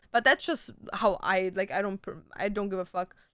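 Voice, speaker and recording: With a German accent, a woman talks at a moderate pace in a bright, sharp, animated tone. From Germany. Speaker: streamer. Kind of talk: casual chat. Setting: live stream.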